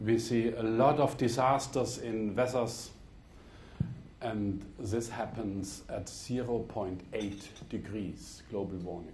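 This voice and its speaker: Somewhat breathy man's voice at medium pitch with a German accent, very slow and fairly even in intonation, with audible room echo. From Germany. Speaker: politician. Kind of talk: speech. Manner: formal.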